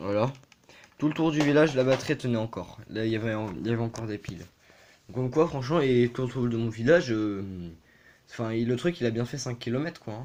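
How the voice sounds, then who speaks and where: A man speaks very fast at a medium pitch, with ordinary pitch variation. His delivery is broken by long, frequent pauses. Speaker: toy car collector youtuber. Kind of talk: casual video presentation. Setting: bedroom. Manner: hesitant, many fillers.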